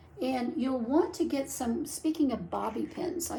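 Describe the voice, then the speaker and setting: A woman talks in an animated tone, with audible echo from the room. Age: 70s. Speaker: wig reviewer and vlogger. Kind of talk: product tutorial. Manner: chatty, animated.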